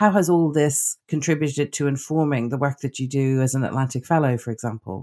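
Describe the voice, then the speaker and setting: At a fairly quick pace with hardly any pauses, a woman speaks at a very deep, low pitch and ordinary pitch variation, her sound dry and close with no echo. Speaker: podcast co-host. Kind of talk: interview.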